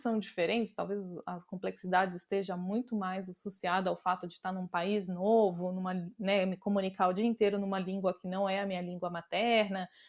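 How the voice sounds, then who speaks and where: In a normal speaking voice, a woman talks at a medium pitch. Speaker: design leader. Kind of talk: interview conversation.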